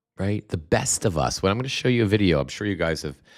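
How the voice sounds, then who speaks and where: Over a silent background in a very clean recording, a man with a very deep, low pitch and vocal fry speaks with lively intonation. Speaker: political commentary livestreamer. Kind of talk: live stream commentary reading viewer comments. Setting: livestream from home. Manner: halting, many repetitions; soft-spoken, talking quietly.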